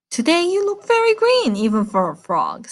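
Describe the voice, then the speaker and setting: A woman's put-on character voice, high-pitched, with very wide pitch swings at a moderate pace. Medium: read story.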